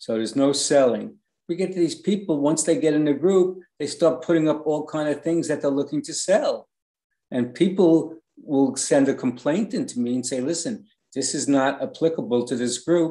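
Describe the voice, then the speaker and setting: A man in a New York accent speaks at a moderate pace, his pitch fairly high. His tone is dark and mellow, with ordinary pitch variation. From New York City, the Bronx. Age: 60s. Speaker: online fan group administrator. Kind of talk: interview.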